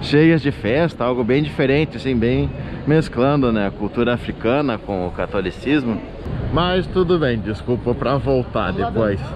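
Fairly slow in pace, a man talks amid noticeable background noise. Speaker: travel vlogger. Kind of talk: casual vlog chat. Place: street. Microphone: phone near.

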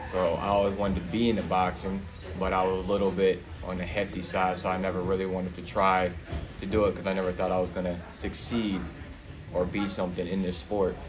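A man talks very fast in a very deep, low voice with monotone, flat intonation. Audible room echo and noticeable background noise accompany him. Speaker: young boxer. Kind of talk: casual interview.

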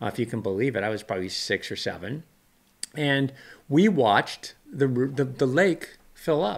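Lively intonation marks this man's speech at a medium pitch. He talks at a moderate pace with a Californian accent. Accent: Californian American. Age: 60s. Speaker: weather channel presenter and YouTuber. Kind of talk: casual podcast storytelling. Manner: conversational, rambling, halting. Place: office. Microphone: studio mic.

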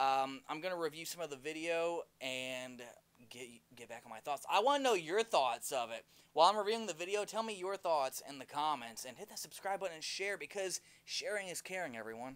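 A man at a fairly quick pace, with lively intonation. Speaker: product reviewer. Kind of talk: casual review talk. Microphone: podium.

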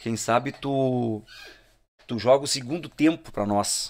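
The background stays quiet while a man talks with ordinary pitch variation. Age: 40s. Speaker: musician; podcast guest. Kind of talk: casual chat. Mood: relaxed storytelling. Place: studio. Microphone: studio mic.

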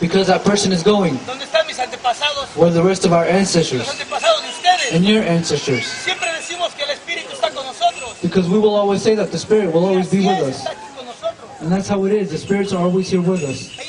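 The talking moves at a fairly quick pace. Crowd noise fills the background. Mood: solemn, spiritual. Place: open country.

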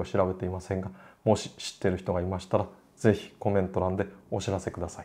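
Here a man talks at a fairly quick pace. His tone is dark and mellow. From Japan. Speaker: classical music educator, opera singer; classical music educator. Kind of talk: lecture; casual chat. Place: home room.

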